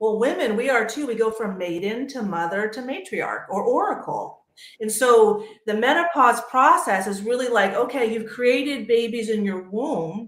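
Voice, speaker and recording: This woman has an unremarkable speaking voice, pitched fairly high. Her intonation is lively and her pace moderate. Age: 50s. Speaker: panel guest on women's health talk show. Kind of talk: panel discussion.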